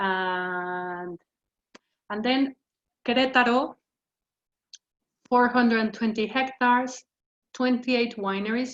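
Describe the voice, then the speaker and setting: A woman with a Mexican accent speaks in a high pitch with ordinary pitch variation and long, frequent pauses. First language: Spanish. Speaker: wine educator. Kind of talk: lecture. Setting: video call. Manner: halting.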